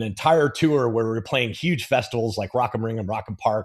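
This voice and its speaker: In a Californian accent, a man speaks in a medium pitch with ordinary pitch variation over a quiet background. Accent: American, Californian. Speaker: mixing engineer. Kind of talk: technical tutorial chat. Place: studio.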